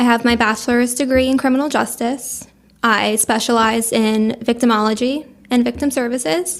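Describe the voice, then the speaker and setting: Keeping her loudness very even, a woman talks in a high pitch with a New Jersey accent. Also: fairly even intonation, moderate pace. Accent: New Jersey American. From Monmouth County, New Jersey. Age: 20s. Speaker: paralegal. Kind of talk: casual interview chat.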